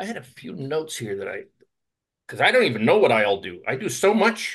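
He speaks with an American accent. His pitch swings very widely. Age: 70s. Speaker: discussion group host. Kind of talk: casual discussion.

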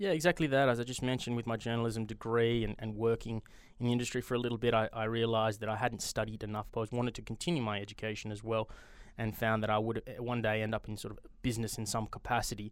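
A man speaks with an Australian accent at a very fast pace. His pitch is medium. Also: fairly even intonation. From Australia, Perth. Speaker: venture capital investor. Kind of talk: interview.

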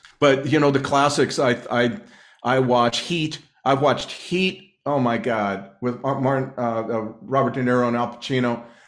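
A man's medium pitch at a moderate pace, with ordinary pitch variation. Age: 60s. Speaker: author and journalist. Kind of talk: interview. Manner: halting.

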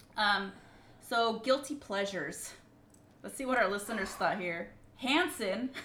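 Woman at a fairly high pitch, lively intonation and a moderate pace, with big swings in loudness, long, frequent pauses, audible room echo and noticeable background noise. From Mexican-American family. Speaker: podcast co-host. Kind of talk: casual chat.

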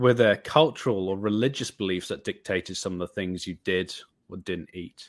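With a Welsh accent, a man speaks at a moderate pace and ordinary pitch variation on a very clean recording with a silent background. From Wales. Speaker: vegan photographer and filmmaker. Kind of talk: interview talk with prepared reflections.

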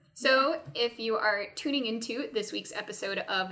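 Noticeable background noise runs under this recording. The woman speaking has a fairly high pitch. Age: 20s. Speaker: podcast host. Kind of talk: casual interview.

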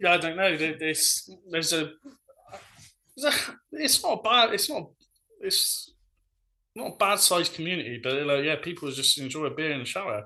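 With a Bristol accent, this man talks at a moderate pace in a high, bright, sharp voice, his lively intonation broken by long, frequent pauses. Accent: Bristolian English. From Bristol, England. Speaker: food social media influencer. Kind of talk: casual chat.

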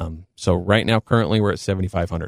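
A man with an American accent has an unremarkable speaking voice, fairly low in pitch with ordinary pitch variation. The sound is dry and close with no echo, in a very clean recording with a silent background. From Southern Utah, Cedar City. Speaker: mortgage lender. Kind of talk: interview.

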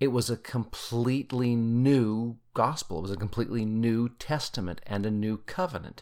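A man with a Utah accent speaks at a fairly slow pace. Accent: Utah American English. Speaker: podcast host, scripture study. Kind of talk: casual scripture study discussion; reading scripture aloud.

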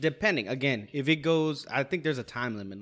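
On a very clean recording with a silent background, a man with an ordinary speaking voice talks at a fairly quick pace with ordinary pitch variation. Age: 30s. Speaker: podcast guest. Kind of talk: casual chat.

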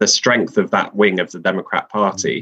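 The voice carries a London accent and a bright, sharp tone. It moves at a moderate pace. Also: man. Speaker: political writer. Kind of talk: casual interview. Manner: hesitant with many fillers.

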